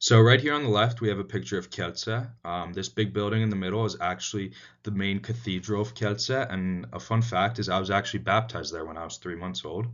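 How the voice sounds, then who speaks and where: Speaking with an American accent and a normal speaking voice, a man has a fairly low pitch and lively intonation. He goes at a fairly quick pace with hardly any pauses. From United States. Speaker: student. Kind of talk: class presentation. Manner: frequent filler words (um, uh).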